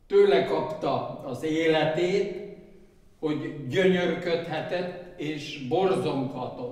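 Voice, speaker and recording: There is a quiet background and audible room echo as a man speaks at a very slow pace. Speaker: book presenter; presenter. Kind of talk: speech at book launch. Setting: event with audience. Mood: solemn, grateful. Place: hall. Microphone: podium.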